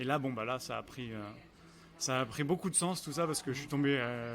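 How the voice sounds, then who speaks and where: A man is speaking. His pace is fairly quick, with ordinary pitch variation. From France, Angers (Pays de la Loire). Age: 30s. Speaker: restaurant owner and pastry chef. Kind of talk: interview over lunch. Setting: restaurant, over lunch. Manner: hesitant, many fillers.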